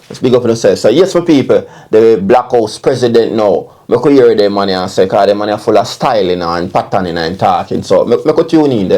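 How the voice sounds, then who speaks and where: A man's medium-pitched voice with a dark, mellow tone and a Jamaican accent, fairly quick and lively in intonation, with hardly any pauses. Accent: Jamaican Patois-inflected English. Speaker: online commentator. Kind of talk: casual commentary. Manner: repetitive filler 'you understand'.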